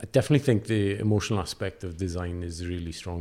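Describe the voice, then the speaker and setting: Speaking in a South Wales accent, a man's very deep, low voice carries a dark, mellow tone. He moves at a fairly quick pace with fairly even intonation. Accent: South Wales Welsh English. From Wales, Carmarthenshire. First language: Welsh. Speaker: designer. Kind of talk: casual interview.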